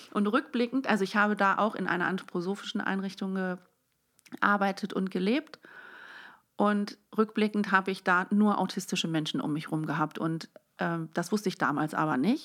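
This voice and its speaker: A woman with an unremarkable speaking voice talks at medium pitch and a moderate pace, with ordinary pitch variation. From Netherlands and Germany, grew up bilingual. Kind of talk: casual conversation.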